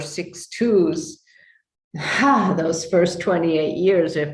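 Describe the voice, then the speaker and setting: A woman with an American accent talks at a fairly slow pace in a fairly low pitch. Audible room echo surrounds her voice. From New York. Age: 70s. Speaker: human design teacher. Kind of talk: interview testimony. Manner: halting.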